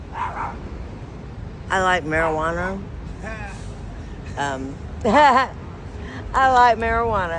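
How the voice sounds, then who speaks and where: A woman with a Texan accent speaks very slowly at a medium pitch with very wide pitch swings and long, frequent pauses, amid noticeable background noise and audible room echo. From South Texas. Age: 60s. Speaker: homeless woman interviewed on the street. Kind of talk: street interview. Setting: outdoors in a park.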